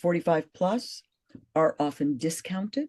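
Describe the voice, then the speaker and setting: The voice is somewhat breathy with a dark, mellow tone and very wide pitch swings at a fairly slow pace. The sound is dry and close with no echo. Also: woman. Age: 60s. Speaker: actress and fitness coach. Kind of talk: interview conversation.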